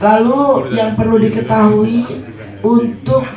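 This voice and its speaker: A man's high voice at a very slow pace, with music in the background and audible room echo. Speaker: treasurer giving financial report. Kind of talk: financial report at community meeting.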